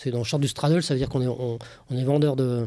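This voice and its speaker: A man with a medium-pitched voice and a dark, mellow tone talks with fairly even intonation. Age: 60s. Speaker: former trader. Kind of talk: casual interview. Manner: hesitant, many fillers.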